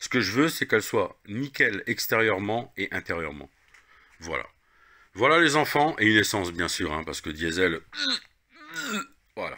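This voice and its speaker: With a Lorraine accent, a man speaks at a moderate pace and fairly low pitch, his bright, sharp tone carrying very wide pitch swings and long, frequent pauses. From Lorraine, eastern France. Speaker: car repair video maker. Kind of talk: casual tutorial. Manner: casual, hesitant with fillers.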